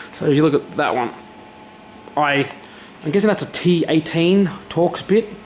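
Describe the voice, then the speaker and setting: Noticeable background noise sits behind a man with a fairly high pitch. He talks at a moderate pace with ordinary pitch variation. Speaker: hobbyist repair vlogger. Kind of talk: casual tutorial-style vlog. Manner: soft-spoken; casual, hesitant with fillers.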